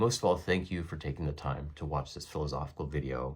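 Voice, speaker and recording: A man speaks at a very deep, low pitch with vocal fry and ordinary pitch variation, at a fairly quick pace. The recording is very clean with a silent background. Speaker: philosophy educator. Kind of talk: lecture. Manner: formal.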